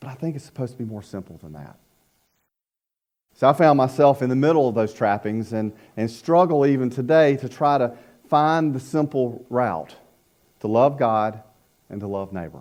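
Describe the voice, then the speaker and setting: This speaker talks at a moderate pace with a North Carolina accent and lively intonation. Long pauses come often. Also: man, medium pitch for a man, big swings in loudness. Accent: Southern US (North Carolina). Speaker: pastor, former youth minister. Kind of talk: sermon. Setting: church.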